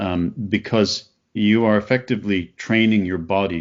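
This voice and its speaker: Here is an ordinary speaking voice with a Canadian accent. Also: man. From Canada. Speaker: opera singer and writer. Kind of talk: podcast interview.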